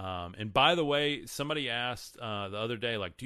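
A man with a Texan accent speaks at a fairly low pitch and a moderate pace, with ordinary pitch variation. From Texas. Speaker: podcast host and faith content creator. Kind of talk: live-streamed religious talk with chat reading. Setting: livestream. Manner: casual, filler-heavy.

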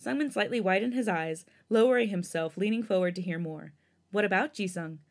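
The words are read aloud in a plain way.

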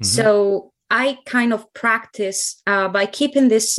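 Speaking at a fairly slow pace against a quiet background, a woman with an Italian accent uses a medium pitch. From central Italy (Ancona). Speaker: translator and interpreter. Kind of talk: podcast interview.

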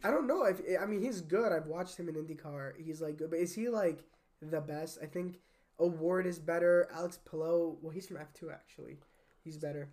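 A man with a high pitch talks at a fairly quick pace in an animated tone, his pitch varying in an ordinary way while his loudness swings widely. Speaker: podcast co-host. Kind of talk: casual chat.

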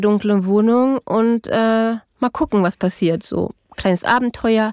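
A woman speaks very slowly at a fairly high pitch, her intonation fairly even. The recording is very clean and dry, close with no echo and a silent background. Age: 40s. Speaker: adult survivor of childhood parental abduction. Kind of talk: personal testimony interview. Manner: halting, many filler sounds.

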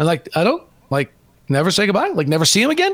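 Over noticeable background noise, a man talks very fast in a high pitch. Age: 40s. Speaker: basketball radio play-by-play announcer. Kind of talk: casual chat. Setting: video call.

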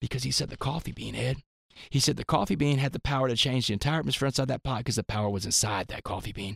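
The speaker talks at a very fast pace in a Texan accent, animated and with vocal fry. Pitch variation is ordinary, and the sound is dry and close with no echo. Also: man, medium pitch for a man. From US South, Port Arthur, Texas. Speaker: motivational speaker. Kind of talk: interview storytelling.

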